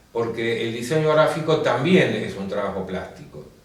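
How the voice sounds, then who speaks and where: The intonation is lively, and the recording carries noticeable background noise and audible room echo. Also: man. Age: 70s. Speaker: painter and graphic designer. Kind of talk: interview.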